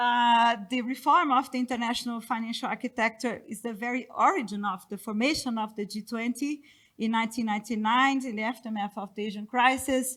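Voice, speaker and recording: A woman with a non-native accent and a high pitch talks at a fairly quick pace with ordinary pitch variation. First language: not English. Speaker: economist panelist. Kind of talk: conference presentation. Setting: conference panel with audience. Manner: halting.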